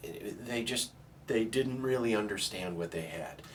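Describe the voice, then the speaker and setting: A man talks with lively intonation and a moderate pace while noticeable background noise runs behind him. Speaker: guitar dealer. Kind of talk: casual explanation to camera. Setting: back room of a guitar shop. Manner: speaking quietly.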